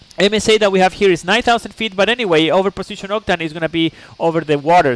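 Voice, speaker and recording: A man's high-pitched voice with ordinary pitch variation, in a dry, close sound with no echo. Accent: Chilean. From Chile. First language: Spanish. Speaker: flight simulator streamer. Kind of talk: live-stream flight briefing. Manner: halting.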